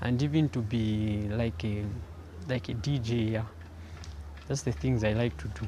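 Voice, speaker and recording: Somewhat breathy, a man speaks with a dark, mellow tone and a fairly low pitch. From Zambia. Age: young. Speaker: young person living with HIV. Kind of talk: personal testimony. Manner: halting, frequent repetitions.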